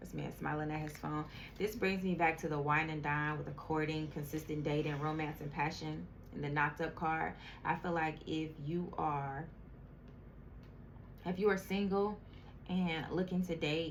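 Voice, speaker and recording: Amid audible room echo, a woman with a very deep, low pitch speaks with fairly even intonation and long, frequent pauses. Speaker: tarot reader. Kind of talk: tarot reading. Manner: slow.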